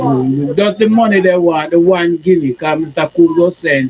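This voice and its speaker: Clear background noise fills the recording. Over it, a man talks with lively intonation. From Jamaica. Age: 60s. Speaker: survivor of persecution. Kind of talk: testimony.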